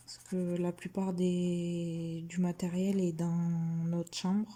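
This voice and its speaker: A soft-spoken woman's voice, fairly low and somewhat breathy, dark and mellow in tone, monotone and flat at a very slow pace. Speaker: vlogger mother of a baby. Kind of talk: casual vlog chat while colouring. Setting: at home. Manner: hesitant, many fillers.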